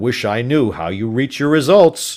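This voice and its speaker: A man's put-on character voice at medium pitch, full of very wide pitch swings. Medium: read story. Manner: brisk, official.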